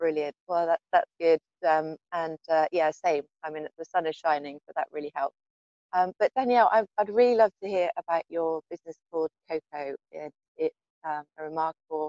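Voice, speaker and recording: A woman with a British accent speaks at a moderate pace in a fairly low pitch with ordinary variation and a dark, mellow tone. The sound is dry with no echo, over a quiet background. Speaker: podcast host and coach; podcast host, coach. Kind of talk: interview. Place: garden. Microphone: earbuds.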